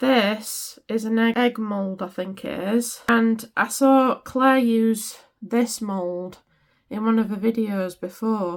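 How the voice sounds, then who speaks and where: In a British accent, a woman talks with fairly high pitch and ordinary pitch variation, captured in a very clean recording with a silent background. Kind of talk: craft tutorial. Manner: casual, chatty.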